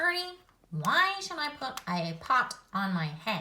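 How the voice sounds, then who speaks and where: In a put-on character voice, a female-sounding speaker goes at a fairly slow pace with a high pitch and very wide pitch swings. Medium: read story. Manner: fretful, exasperated.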